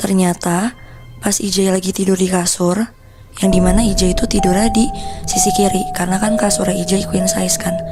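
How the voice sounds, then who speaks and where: Backed by music, a woman talks at a fairly quick pace. Her pitch is medium. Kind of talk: casual horror storytelling to camera, told conversationally. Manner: conversational, informal Jakarta-style slang.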